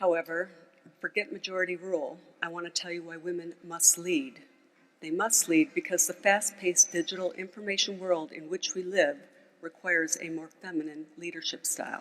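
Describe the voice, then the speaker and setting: A woman with a plain, everyday voice speaks in an American accent at a fairly low pitch and moderate pace, her intonation fairly even and her loudness swinging widely. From United States. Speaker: mountaineer and former banker, speaker. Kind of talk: conference speech.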